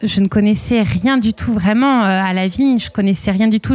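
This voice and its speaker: A woman's medium-pitched voice at a moderate pace, an ordinary speaking voice, with a dry, close sound and no echo. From southwest France, Arcachon basin. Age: 30s. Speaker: winemaker. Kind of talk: interview testimony.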